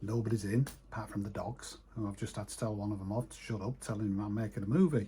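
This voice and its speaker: A man speaks with a dark, mellow tone and a somewhat breathy quality, in a northern English accent. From northern England, east coast. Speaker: retired sign writer. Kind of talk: casual vlog monologue. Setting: home office. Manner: halting.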